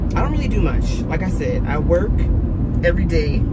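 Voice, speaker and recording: Loud background noise around a woman's speech. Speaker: vlogger. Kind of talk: casual vlog chat. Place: car.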